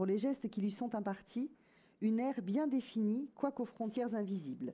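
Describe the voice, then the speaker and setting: In a very clean recording with a silent background, a woman with a dark, mellow tone and fairly high pitch sounds somewhat breathy, with lively intonation. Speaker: reader presenting and reading a novel aloud.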